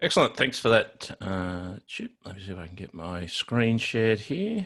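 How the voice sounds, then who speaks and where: He speaks at a moderate pace with an Australian accent. The background is quiet. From Australia, Sydney. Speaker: IT consultant and trainer; guest. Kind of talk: technical tutorial webinar. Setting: video webinar with screen share. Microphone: video call.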